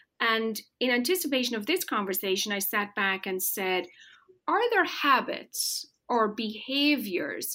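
Speaking at a fairly slow pace, a woman with a fairly high pitch and a bright, sharp tone makes very wide pitch swings. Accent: Irish. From rural Ireland. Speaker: marketing executive. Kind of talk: interview. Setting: remote call.

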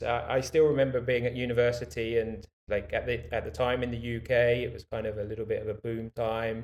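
A man speaks with a British accent. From UK. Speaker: bike rental business owner. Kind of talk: interview.

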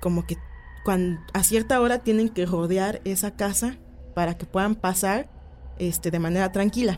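A woman talks at a fairly slow pace in a dark, mellow tone. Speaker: paranormal folklore page creator. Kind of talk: radio interview. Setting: studio.

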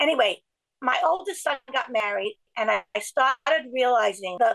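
In an American accent, a woman speaks at a high pitch with lively intonation, the sound dry and close with no echo. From Brooklyn, New York. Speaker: writer and organization co-founder. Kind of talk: casual interview. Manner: halting, many restarts.

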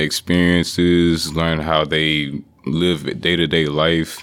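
This man's voice is very deep and low, delivered in a flat monotone. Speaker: electrical engineering student. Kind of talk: casual interview.

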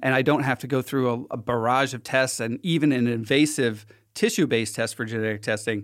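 A man with an American accent uses a plain, everyday voice at medium pitch with ordinary pitch variation. He talks at a fairly quick pace in a very clean recording with a silent background. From Philadelphia, US. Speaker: healthcare app founder. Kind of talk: casual interview. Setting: studio.

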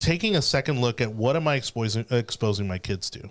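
A man's plain, everyday voice at medium pitch and moderate pace in a very clean recording with a silent background. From Miami, Florida. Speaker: political podcast host. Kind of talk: casual political panel chat. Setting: studio with video.

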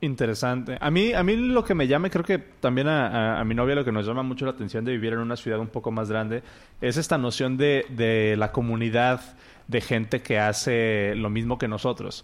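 With a Mexican accent, a man talks at a moderate pace using ordinary pitch variation. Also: medium pitch for a man. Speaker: podcast host. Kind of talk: casual chat. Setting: live stream.

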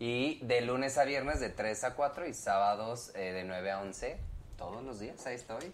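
This man has a normal speaking voice. His pitch is medium, with ordinary pitch variation. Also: fairly slow pace. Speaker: pop band member. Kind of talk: casual chat.

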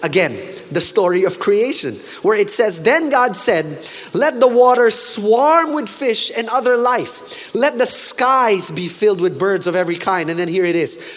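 The speaker talks at a moderate pace in an animated tone, with noticeable background noise. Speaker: preacher. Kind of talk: sermon.

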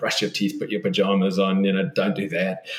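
A man's pitch varies in an ordinary way, with noticeable background noise behind him. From South Africa. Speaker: children's book author. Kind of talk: relaxed podcast interview conversation. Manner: gentle, halting, with frequent repetitions and fillers.

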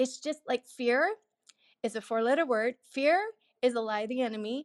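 A woman speaks in an ordinary speaking voice with ordinary pitch variation. The sound is dry and close, without echo. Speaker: entrepreneur. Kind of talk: personal story. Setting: live audio room online.

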